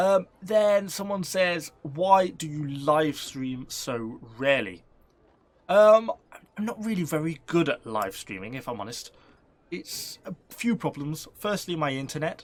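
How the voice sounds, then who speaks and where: Delivered at a fairly slow pace with a British accent, the speech has very wide pitch swings and big swings in loudness. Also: man, fairly high pitch for a man. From UK. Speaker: gaming YouTuber. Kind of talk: casual Q&A to camera. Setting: home shed.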